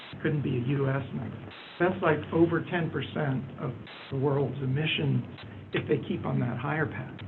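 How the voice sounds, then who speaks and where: A man's fairly high voice at a moderate pace, with ordinary pitch variation, noticeable background noise and audible room echo. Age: 60s. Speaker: audience member asking a question, government economist. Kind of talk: Q&A question at a panel event.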